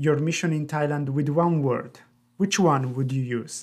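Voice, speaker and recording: A man with a normal speaking voice, fairly high in pitch, shows ordinary pitch variation on a very clean recording with a silent background. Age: young. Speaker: missionary and podcast host. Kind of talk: interview.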